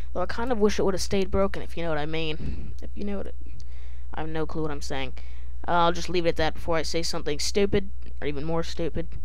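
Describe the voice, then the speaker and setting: Very fast pace in a dry sound with no echo. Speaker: gaming youtuber. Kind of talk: casual vlog chat.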